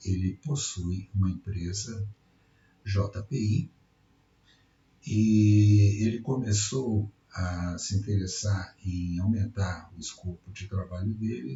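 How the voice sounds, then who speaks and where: A man's somewhat breathy, fairly low-pitched voice at a very slow pace. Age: 60s. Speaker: retired electrical engineer. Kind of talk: project pitch presentation.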